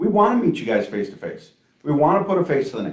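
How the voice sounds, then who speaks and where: A man speaks loudly, his pitch swinging very widely. There is audible echo from the room. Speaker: trucking company recruiter. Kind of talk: live stream Q&A chat. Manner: talkative.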